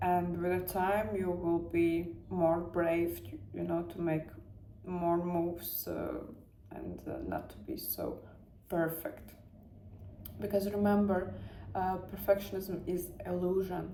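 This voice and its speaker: Speaking very slowly with long, frequent pauses, a woman with a Latvian accent keeps a fairly low pitch and fairly even intonation, her loudness swinging widely amid audible room echo. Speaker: self-help vlogger. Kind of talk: personal motivational talk. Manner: halting, searching for words.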